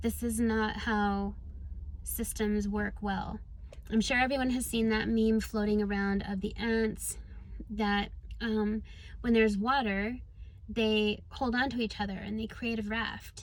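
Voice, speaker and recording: A woman speaks at a fairly slow pace in a fairly high, somewhat breathy voice with flat, monotone intonation, and room echo is audible. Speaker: spiritual coach and vlogger. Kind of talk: casual vlog monologue. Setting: in a car. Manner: hesitant with fillers.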